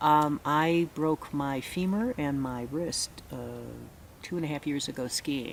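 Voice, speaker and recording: With an American accent, a woman talks at a fairly slow pace in a very deep, low pitch with ordinary pitch variation. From US Midwest, Chicago. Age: 60s. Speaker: retreat participant. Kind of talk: testimony. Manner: halting, many fillers.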